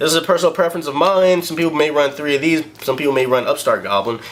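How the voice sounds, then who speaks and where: Over noticeable background noise, a man talks at a very fast pace in an animated tone, with ordinary pitch variation. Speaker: card game deck showcaser. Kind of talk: casual tutorial.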